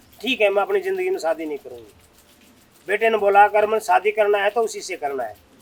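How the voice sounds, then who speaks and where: A man with a high voice speaks at a moderate pace with ordinary pitch variation. Noticeable background noise runs beneath him. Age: 60s. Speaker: retired army officer, yoga guru. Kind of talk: interview answer.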